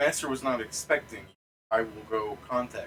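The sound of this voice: Putting on a robotic character voice, a man speaks at a moderate pace in a medium pitch.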